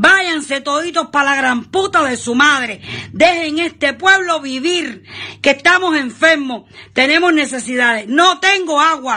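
Shouting in a raised, projected voice, a woman with a Cuban accent keeps a high pitch with ordinary pitch variation. Her pace is fairly slow, and the background is quiet. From Cuba, Trinidad. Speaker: citizen denouncing conditions; guest. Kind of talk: angry video denunciation. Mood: angry, desperate, shouting protest. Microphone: video call.

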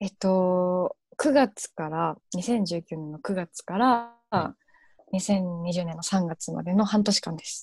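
Speaking at a very slow pace, a woman sounds somewhat breathy, with ordinary pitch variation. Her loudness swings widely, and the sound is dry with no echo. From Japan, Kansai region; Japan. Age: 20s. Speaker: university student; guest. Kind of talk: interview. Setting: online live stream. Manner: hesitant with many fillers. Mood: cheerful, animated. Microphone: earbuds.

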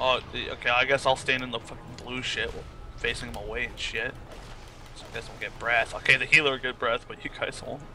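Over music in the background, a man talks at a fairly quick pace with big swings in loudness. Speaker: gamer friend. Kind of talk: casual chat. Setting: voice chat. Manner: joking, swears freely.

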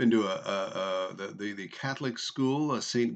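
A plain, everyday voice from a man, fairly low in pitch, with lively intonation and a moderate pace over a quiet background. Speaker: vlogger. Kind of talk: casual vlog chat. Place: home room. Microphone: webcam.

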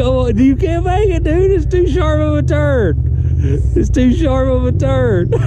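The sound is dry with no echo, though loud background noise runs underneath. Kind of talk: excited commentary. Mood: amused, teasing. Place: forest. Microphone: camera far.

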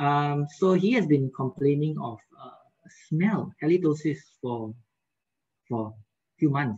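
This man's voice sits at a fairly high pitch. It sounds somewhat breathy. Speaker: periodontist giving a webinar lecture. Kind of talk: lecture. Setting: video call.

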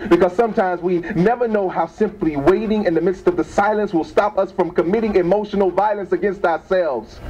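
Over light background noise, a man speaks fairly quickly in a high pitch. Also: fairly even intonation. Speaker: spoken word poet. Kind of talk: improvised spoken word poetry performance. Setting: open mic event, live venue. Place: shop.

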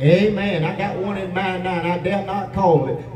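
Audible room echo along with light background noise. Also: man. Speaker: pastor. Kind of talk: sermon. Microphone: camera far.

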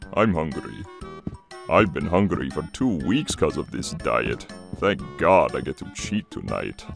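A man does a cartoonish character voice with a very deep, low pitch, talking at a moderate pace over clear music in the background. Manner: blunt, jovial, pushy.

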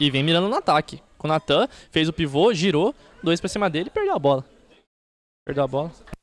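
A man with a Brazilian accent, fairly high pitch and ordinary pitch variation, a very fast pace broken by long, frequent pauses, and a dry sound with no echo. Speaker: football play-by-play announcer. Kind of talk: live commentary. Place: stadium.

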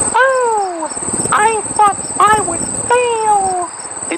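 A squeaky, put-on character voice pitched extremely high.

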